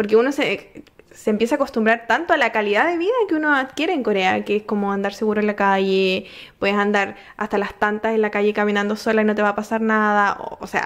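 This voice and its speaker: A woman talks at a very fast pace with a fairly high pitch and ordinary pitch variation. The background is quiet. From Chile. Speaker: podcast host. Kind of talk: casual interview. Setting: home. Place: home room. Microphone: studio mic.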